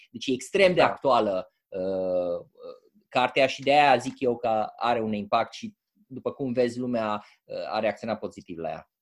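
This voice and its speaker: Ordinary pitch variation at a moderate pace. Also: man, medium pitch for a man. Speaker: book club host. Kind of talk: online club meeting. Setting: video call. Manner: halting.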